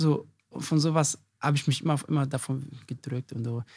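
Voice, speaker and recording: The sound is dry and close with no echo. A man speaks in a somewhat breathy, fairly high voice with fairly even intonation. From Germany, Hesse. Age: 40s. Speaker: chef and restaurant owner. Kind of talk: interview. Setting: in his restaurant.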